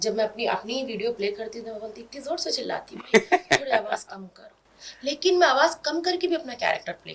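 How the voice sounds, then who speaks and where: High-pitched speech from a woman at a moderate pace, with very wide pitch swings and big swings in loudness. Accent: Hyderabadi. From India, Hyderabad. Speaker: comedic social media video actress. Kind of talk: interview chat. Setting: studio, on camera. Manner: quiet off-camera, loud high-pitched in character.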